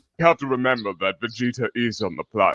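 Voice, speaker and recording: In a cartoonish character voice, a man talks at a very fast pace. His pitch sits in the medium range. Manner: crude, mocking.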